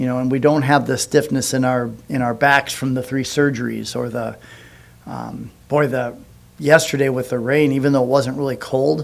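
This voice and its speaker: Through audible room echo, a man of medium pitch talks at a moderate pace with fairly even intonation. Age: 60s. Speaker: pastor. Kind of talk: sermon. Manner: halting.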